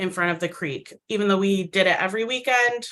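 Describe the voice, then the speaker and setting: A woman with a Midwestern American accent talks at a moderate pace in a medium pitch. Her tone is bright and sharp, with fairly even intonation. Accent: very Midwestern American. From US Midwest, Micronesian community. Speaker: storyteller sharing immigrant experience. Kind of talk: personal testimony. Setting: virtual event.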